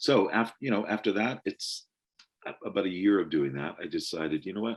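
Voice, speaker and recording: With lively intonation and vocal fry, a man talks at a moderate pace. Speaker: voiceover actor and teacher. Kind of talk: interview.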